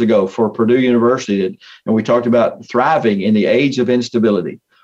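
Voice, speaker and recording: In a plain, everyday voice, the speech runs at a fairly quick pace. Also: man. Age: 60s. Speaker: motivational speaker and coach. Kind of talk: interview.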